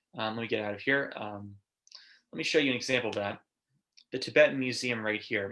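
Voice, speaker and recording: This man's tone is bright and sharp, his pitch medium. He talks at a very fast pace with fairly even intonation. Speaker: marketing company presenter. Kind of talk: webinar presentation. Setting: video call. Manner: filler-heavy, um and uh.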